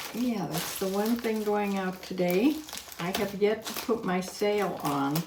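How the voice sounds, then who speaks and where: Against noticeable background noise, a woman with an American accent speaks at a fairly slow pace. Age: 80s. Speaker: online reseller and YouTube vlogger. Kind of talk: casual talk to camera.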